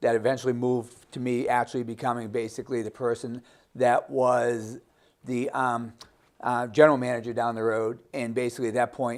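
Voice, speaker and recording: A man's monotone, flat voice at medium pitch and a fairly quick pace, on a very clean recording with a silent background. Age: 60s. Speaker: gym owner. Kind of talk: interview.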